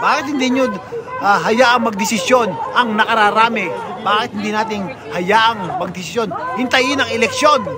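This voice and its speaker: Against loud background noise, a man talks at a moderate pace in a dry recording with no echo. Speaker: political commentary vlogger. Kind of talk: political commentary to camera. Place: street.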